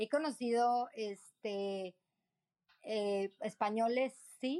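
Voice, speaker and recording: The sound is dry and close with no echo as a woman speaks with ordinary pitch variation. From Mexico City, born in Morelia. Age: 30s. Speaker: entrepreneur and traveler. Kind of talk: interview conversation. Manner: animated.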